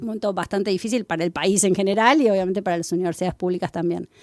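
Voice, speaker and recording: A woman with a Rioplatense accent and a medium pitch speaks at a very fast pace on a very clean recording, the background silent and the sound dry and close with no echo. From Argentina, Buenos Aires. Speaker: professor. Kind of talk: interview.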